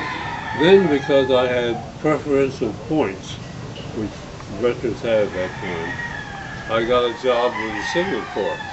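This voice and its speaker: A man at medium pitch, fairly slow and lively in intonation, with long, frequent pauses and noticeable background noise. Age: 80s+. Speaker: retired lawyer and former ambassador. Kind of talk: interview answer.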